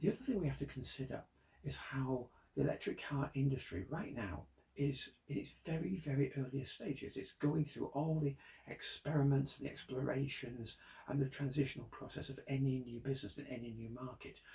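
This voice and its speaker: With a British accent, a man talks at a fairly quick pace in a fairly high, somewhat breathy voice, dark and mellow in tone, with ordinary pitch variation. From Britain. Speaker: car designer and company founder. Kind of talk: investor pitch monologue.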